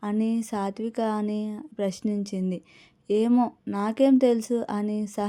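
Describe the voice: What is heard here is plain reading aloud.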